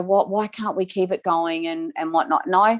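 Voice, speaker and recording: A woman with an Australian accent and a fairly low voice, at a moderate pace with ordinary pitch variation, in a very clean recording with a silent background and a dry, close sound with no echo. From Victoria, Australia. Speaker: domestic violence survivor speaker. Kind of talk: testimony. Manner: halting.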